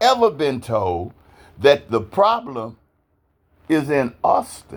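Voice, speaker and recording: Very wide pitch swings mark the way this man speaks. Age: 70s. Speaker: activist / citizen vlogger. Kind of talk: personal appeal monologue. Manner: impassioned.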